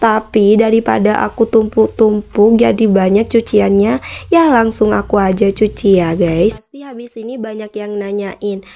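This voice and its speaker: A woman with a dark, mellow tone and a fairly high pitch speaks at a fairly slow pace with hardly any pauses, ordinary pitch variation, and big swings in loudness. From Bondowoso, East Java, Indonesia (Madurese area). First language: Madurese (speaking Indonesian). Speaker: vlogger. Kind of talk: casual vlog talk to viewers. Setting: outdoors washing area, doing laundry. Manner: casual, chatty.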